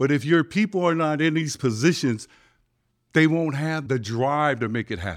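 A man speaks in an animated tone at a fairly high pitch, with ordinary pitch variation and a moderate pace, on a very clean recording with a silent background. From San Francisco, Samoan-American. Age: 50s. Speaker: community activist. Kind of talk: interview.

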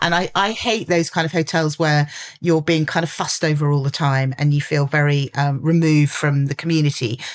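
A woman speaks with a southern English accent at a very deep, low pitch. Her pace is fairly quick, her intonation fairly even, and her loudness very even. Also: hardly any pauses. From London. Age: 50s. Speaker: journalist and entrepreneur. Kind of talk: casual interview chat.

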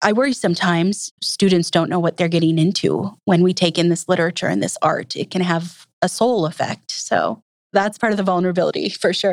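Speaking with an American accent, a woman uses an ordinary speaking voice at a medium pitch, talking at a fairly quick pace with hardly any pauses and ordinary pitch variation. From US Upper Midwest, Minnesota. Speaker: English professor. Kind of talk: interview.

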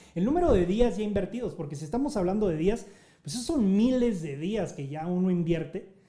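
In a room with audible echo, a man speaks at a fairly quick pace with a high pitch, a dark, mellow tone and lively intonation. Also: big swings in loudness. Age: 40s. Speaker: podcast host and nonprofit founder. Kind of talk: live group discussion on social audio. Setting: live online audio room.

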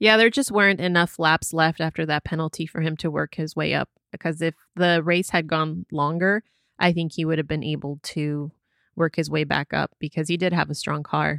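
On a very clean recording with a silent background and a dry, close sound with no echo, a woman speaks at a moderate pace, her very deep, low pitch held in fairly even intonation. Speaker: podcast host. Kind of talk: casual chat.

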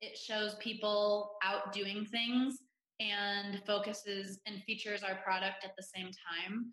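At a very slow pace, a bright, sharp voice with an American accent holds a monotone, flat intonation. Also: woman, medium pitch for a woman. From Ohio, US Midwest. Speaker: influencer relations manager at a CBD company. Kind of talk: interview.

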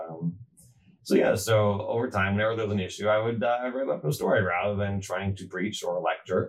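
Music plays behind a man speaking at a fairly low pitch. His pitch varies by ordinary amounts. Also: fairly quick pace. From moved around US East Coast; high school in Atlanta. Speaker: rabbi and family counselor. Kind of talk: casual interview. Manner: halting, repeats words.

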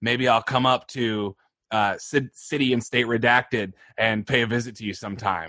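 Using a put-on character voice, a man speaks in a gravelly tone at a medium pitch and moderate pace, with fairly even intonation. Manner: menacing.

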